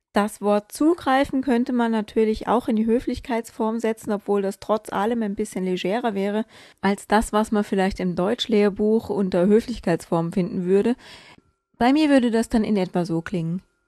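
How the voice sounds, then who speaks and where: A woman speaks with a dark, mellow tone at a fairly high pitch, a moderate pace and ordinary pitch variation. The sound is dry and close with no echo, over a quiet background. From northern Germany. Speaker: podcast host. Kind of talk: casual podcast talk.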